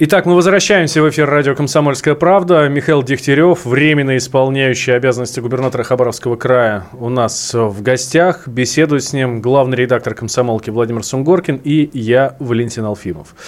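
This man has an unremarkable speaking voice, talking fairly quickly at a medium pitch with ordinary pitch variation. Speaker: radio host. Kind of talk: radio interview. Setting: studio.

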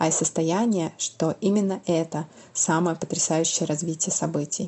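This woman has a fairly low voice. She speaks at a moderate pace. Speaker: teacher, listener. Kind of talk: recorded listener testimonial.

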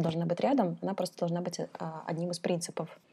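A woman talks in a fairly low register with a dark, mellow tone. The recording is very clean, with a silent background. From Kazakhstan. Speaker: head of an education department. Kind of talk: interview.

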